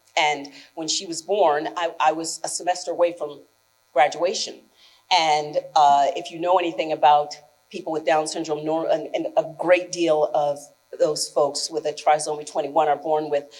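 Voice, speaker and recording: In an American accent, the speaker talks at a moderate pace in a monotone, flat intonation. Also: woman, very deep, low pitch for a woman. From New Jersey Shore, US. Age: 60s. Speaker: journalist and guest speaker. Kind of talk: speech to students. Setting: school ceremony with audience. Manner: conversational.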